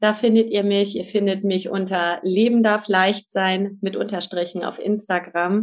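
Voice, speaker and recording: A woman speaks at a moderate pace in a plain, everyday voice, her intonation fairly even. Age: 50s. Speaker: family and couples coach. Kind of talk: interview.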